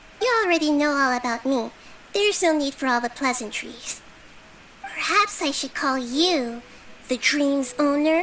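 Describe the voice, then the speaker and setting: A female-sounding voice does a put-on character voice at a high pitch and moderate pace, with clear background noise. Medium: fan dub. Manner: calm, measured, reasoning.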